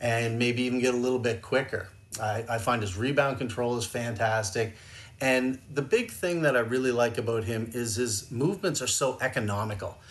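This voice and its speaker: A man's plain, everyday voice, medium in pitch, with ordinary pitch variation at a moderate pace. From Canada. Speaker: hockey goaltending scout. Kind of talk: casual chat.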